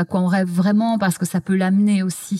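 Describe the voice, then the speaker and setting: In a dry, close recording with no echo, a woman with a somewhat breathy voice speaks at a medium pitch and a moderate pace. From Belgium. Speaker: TV culture journalist and author. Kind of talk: interview conversation. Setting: physio practice room.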